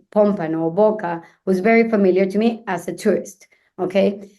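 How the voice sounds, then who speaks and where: A woman with a Venezuelan accent at a fairly slow pace. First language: Spanish. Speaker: luxury real estate agent. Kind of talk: podcast interview. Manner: halting, frequent fillers.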